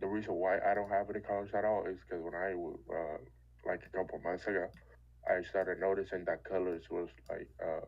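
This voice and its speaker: Man with a Dominican accent at a fairly quick pace. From Dominican Republic. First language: Spanish. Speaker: trader. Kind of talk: casual chat. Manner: halting.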